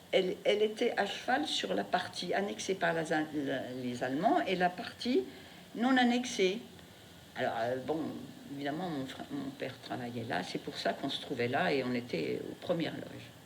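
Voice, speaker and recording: A woman speaks with a very deep, low pitch and very wide pitch swings. Audible room echo and noticeable background noise fill the recording. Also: moderate pace. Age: 80s+. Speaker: interviewee, wartime childhood witness. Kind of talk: testimony.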